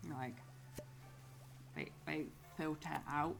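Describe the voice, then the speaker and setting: A woman is speaking with audible room echo. Music plays in the background. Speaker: gaming video creator. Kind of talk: casual gaming commentary. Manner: slurred words run together; rambling, hesitant.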